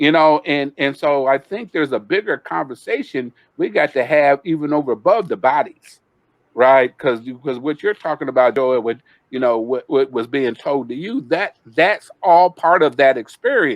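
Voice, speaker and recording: Speaking at a moderate pace in an ordinary speaking voice, a man with a fairly high pitch uses lively intonation, recorded with a dry, close sound and no echo. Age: 60s. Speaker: community panelist. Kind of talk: panel discussion.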